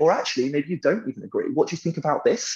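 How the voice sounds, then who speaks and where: A man speaks with a British accent. His delivery is very fast. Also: quiet background. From Britain. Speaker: software company founder and CEO. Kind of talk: casual interview. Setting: video call.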